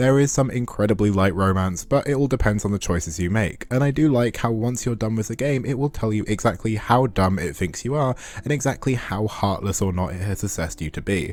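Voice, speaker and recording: A man with an English accent, fairly low in pitch, speaking fairly quickly with ordinary pitch variation and hardly any pauses. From England. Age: 20s. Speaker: game reviewer. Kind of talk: scripted narration.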